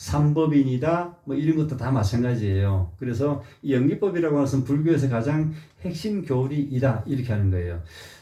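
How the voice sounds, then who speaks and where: A man's somewhat breathy voice, dark and mellow, at medium pitch with lively intonation and a moderate pace, amid audible room echo. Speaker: Buddhist teacher. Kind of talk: dharma lecture. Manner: frequent filler sounds.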